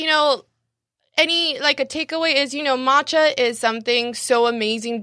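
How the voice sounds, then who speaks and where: A woman projects a raised voice at a high pitch with a bright, sharp tone. She keeps a moderate pace and ordinary pitch variation. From Mexicali, Mexico. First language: Spanish. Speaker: cafe owner. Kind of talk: casual interview. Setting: studio, live-streamed on Facebook.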